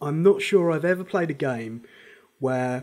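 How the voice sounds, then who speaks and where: The speaker has a British accent and talks at a moderate pace. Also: man. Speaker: gaming guide presenter. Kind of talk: casual game guide talk.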